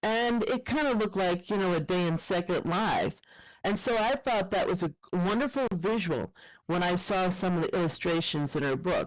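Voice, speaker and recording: The speaker has a normal speaking voice and talks at a moderate pace in a very clean recording with a silent background. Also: woman. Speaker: professor and keynote speaker. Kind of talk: conference keynote talk.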